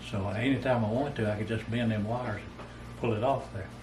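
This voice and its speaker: A man with a Southern US accent talks at a fairly quick pace, medium in pitch and fairly even in intonation. Noticeable background noise and audible room echo fill the recording. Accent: Southern US rural. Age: 70s. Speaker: storyteller. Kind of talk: casual storytelling. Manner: halting.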